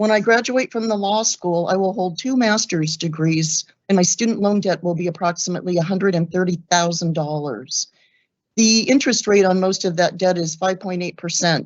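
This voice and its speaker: A woman with a plain, everyday voice speaks at a medium pitch and a moderate pace with ordinary pitch variation. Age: 60s. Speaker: law student giving public comment. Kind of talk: public comment statement.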